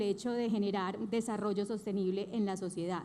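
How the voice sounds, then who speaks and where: In a Colombian paisa accent, a woman speaks with fairly even intonation. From Colombia, Antioquia (paisa region). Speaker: bank executive, conference speaker. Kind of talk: conference talk.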